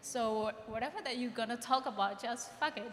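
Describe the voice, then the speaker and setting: A woman with a high pitch speaks over noticeable background noise. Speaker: panelist, photographer or artist. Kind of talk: panel discussion. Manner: loud.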